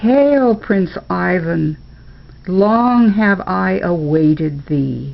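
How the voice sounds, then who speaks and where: A woman puts on a character voice, speaking very slowly at a fairly low pitch. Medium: read story. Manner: formal, archaic.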